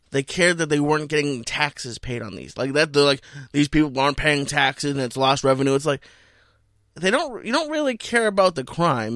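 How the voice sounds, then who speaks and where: A man with an American accent and a normal speaking voice, fairly high-pitched, at a fairly quick pace with ordinary pitch variation, in a dry, close sound with no echo and a very clean recording against a silent background. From Boston. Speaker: comedian. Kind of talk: casual chat. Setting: studio.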